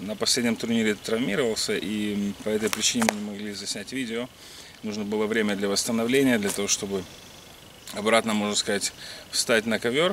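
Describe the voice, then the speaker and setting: Light background noise sits behind a man talking at a moderate pace. The sound is dry, with no echo. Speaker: wrestling coach. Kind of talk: casual vlog intro. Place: forest. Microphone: camera far.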